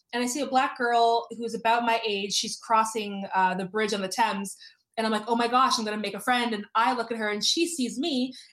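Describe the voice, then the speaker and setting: A woman with a Canadian accent speaks at a fairly quick pace in a plain, everyday voice, her pitch fairly high with ordinary variation. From Canada, Toronto. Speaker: author. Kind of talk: interview.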